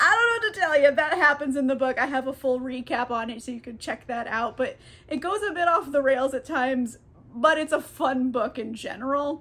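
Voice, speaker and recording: This woman has a high pitch and lively intonation. She talks at a fairly quick pace. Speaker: book vlogger. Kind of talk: casual vlog chat. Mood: cheerful, playful. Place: home room.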